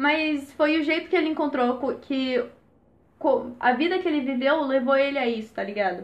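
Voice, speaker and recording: A woman with a high pitch speaks at a moderate pace, with ordinary pitch variation. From Brazil, Jundiaí (São Paulo state). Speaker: podcast host. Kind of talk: casual chat.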